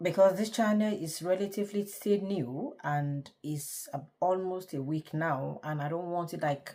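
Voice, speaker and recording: A woman speaks in a Nigerian accent. Her pitch shows ordinary variation. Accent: Nigerian (Yoruba) English. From Nigeria, Yoruba. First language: Yoruba. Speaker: vlogger. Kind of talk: casual talk to camera. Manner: halting.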